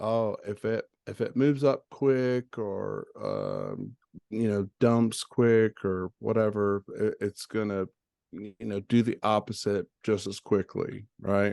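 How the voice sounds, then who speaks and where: A man speaks at a very slow pace. The sound is dry and close with no echo, and the background is quiet. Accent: slight Southern US. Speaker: crypto trading educator. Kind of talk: tutorial. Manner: casual, hesitant with fillers.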